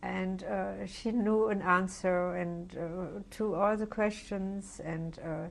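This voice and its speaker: A woman with a German accent speaks at a very slow pace with hardly any pauses, her medium pitch carrying fairly even intonation. Audible room echo surrounds her voice. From Germany. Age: 70s. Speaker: Holocaust survivor. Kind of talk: oral history interview. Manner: halting, many fillers.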